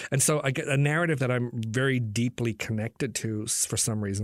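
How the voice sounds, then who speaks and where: A man talks at a fairly quick pace with a Newfoundland accent and ordinary pitch variation. The recording is very clean, with a silent background. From Newfoundland, Canada. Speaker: playwright. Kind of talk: interview.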